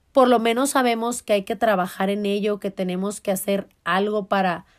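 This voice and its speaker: A woman's animated, medium-pitched voice with a Mexican accent on a very clean recording with a silent background. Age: 30s. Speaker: podcast host. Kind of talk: casual self-help monologue.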